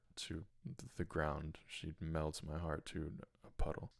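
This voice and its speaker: A man's very deep, low voice with a Michigan accent, at a fairly slow pace. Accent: US Midwest (Michigan) English. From Michigan, US Midwest. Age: 20s. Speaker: podcast host. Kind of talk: personal testimony monologue.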